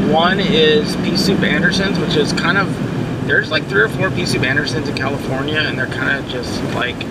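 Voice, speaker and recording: Over loud background noise, a man talks at a fairly quick pace with ordinary pitch variation. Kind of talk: casual vlog chat. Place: car. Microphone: phone near.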